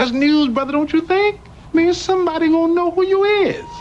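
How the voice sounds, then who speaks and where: A man does a squeaky, put-on character voice at an extremely high pitch. He talks at a fairly quick pace over light background noise. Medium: short film. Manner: slick, fast-talking.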